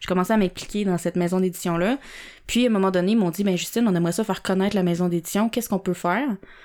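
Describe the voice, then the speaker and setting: Speaking at a very fast pace, a woman holds a medium pitch. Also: fairly even intonation, very clean recording, silent background. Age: 20s. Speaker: entrepreneur. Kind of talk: interview.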